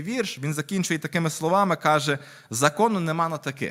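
With an unremarkable speaking voice, a man talks at a moderate pace, his fairly high pitch showing ordinary pitch variation. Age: 30s. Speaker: lay preacher. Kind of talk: sermon.

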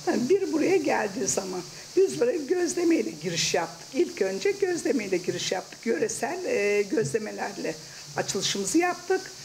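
Clear background noise sits behind a woman whose voice has vocal fry and big pitch swings. She speaks with few pauses. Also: fairly high pitch for a woman, moderate pace.

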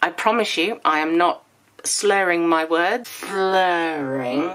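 Slowly and at a fairly low pitch, a woman speaks in a fairly bright tone.

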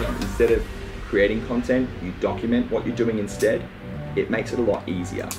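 A man talks fairly quickly while clear music plays in the background. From Australia. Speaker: keynote speaker. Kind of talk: keynote speech. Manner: energetic. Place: meeting room.

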